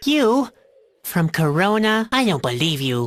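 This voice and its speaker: A put-on character voice, female-sounding and at a middle pitch, moves fairly slowly with very wide pitch swings. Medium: video game. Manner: gloomy, sarcastic.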